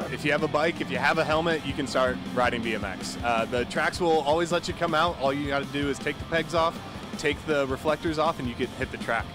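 Over clear background music, a man speaks at a fairly quick pace with ordinary pitch variation, and the sound is dry with no echo. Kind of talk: interview answer. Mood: friendly, upbeat promotion. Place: stadium. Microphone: handheld.

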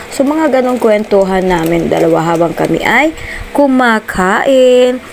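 A woman speaks very slowly at a fairly high pitch with lively intonation. Noticeable background noise runs underneath. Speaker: vlogger. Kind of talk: vlog narration. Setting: restaurant.

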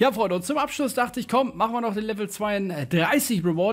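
An animated man's voice with very wide pitch swings, on a very clean recording with a silent background. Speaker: gaming YouTuber. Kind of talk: gameplay commentary with pack openings.

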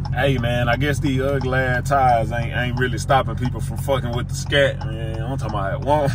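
A man speaks at a fairly quick pace. Clear music plays behind him. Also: dry sound with no echo. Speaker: vlogger driving. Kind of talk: casual vlog chat. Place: car. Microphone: phone near.

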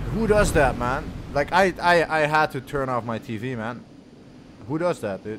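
Noticeable background noise sits behind a man with a fairly high pitch. He talks at a moderate pace in an animated tone. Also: lively intonation. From Netherlands. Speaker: gaming streamer. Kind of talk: live gameplay stream chatting with viewers. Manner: casual, animated. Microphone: studio mic.

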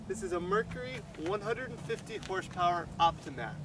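Noticeable background noise surrounds a man's dry sound with no echo and ordinary pitch variation. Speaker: fishing guide. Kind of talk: tutorial. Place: open country.

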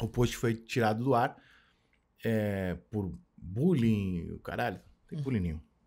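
A man talks at a very slow pace with lively intonation and long, frequent pauses against a quiet background. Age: 40s. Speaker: sports journalist. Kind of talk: casual chat. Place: studio. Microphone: studio mic.

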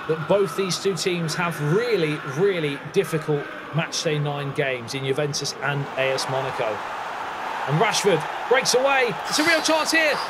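An animated tone over noticeable background noise. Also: man. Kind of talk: football commentary. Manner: animated, excitable play-by-play.

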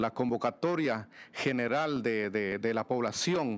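A man's intonation is lively, though his delivery is fairly slow. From Guatemala. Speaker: mayor. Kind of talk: panel presentation. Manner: frequent hesitations with filler este. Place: meeting room. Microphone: podium.

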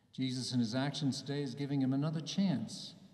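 In an American accent, a man speaks at a moderate pace with a warm tone and fairly even intonation, with audible room echo and a quiet background. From US, New Jersey. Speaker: bishop. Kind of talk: homily at Mass to young people, warm and reflective. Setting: church, Mass with a youth audience. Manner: earnest, personal, gently paced with small hesitations; warm and encouraging, building to a rousing close. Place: church. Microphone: podium.

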